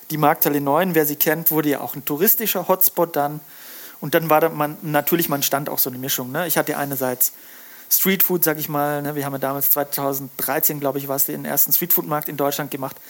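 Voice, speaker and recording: A man speaks in a normal speaking voice at a fairly quick pace, his intonation fairly even. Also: fairly high pitch for a man. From Lake Constance region, southern Germany. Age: 40s. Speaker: fisheries scientist and fish smoker, author. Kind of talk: casual interview chat.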